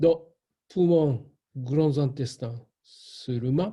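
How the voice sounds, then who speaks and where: Speaking at a very slow pace with a Japanese accent, a man uses a fairly high pitch and a dark, mellow, somewhat breathy tone with ordinary pitch variation. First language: Japanese (speaking French). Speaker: shiatsu teacher. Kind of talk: online class. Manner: halting.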